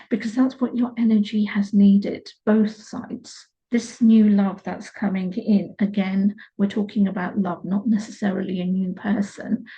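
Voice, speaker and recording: A woman speaks in a dark, mellow, somewhat breathy tone at a medium pitch, her intonation flat and monotone. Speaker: tarot reader. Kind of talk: tarot reading. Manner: slower than usual.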